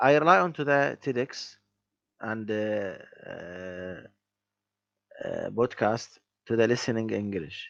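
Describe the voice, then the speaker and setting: Long, frequent pauses from a man speaking very slowly. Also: medium pitch for a man. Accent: non-native. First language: not English. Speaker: English language student. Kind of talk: language lesson conversation. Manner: halting.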